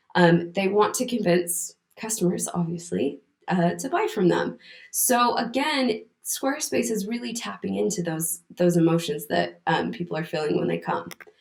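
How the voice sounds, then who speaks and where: At a moderate pace, a woman speaks with an American accent. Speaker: content writer. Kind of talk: conference talk.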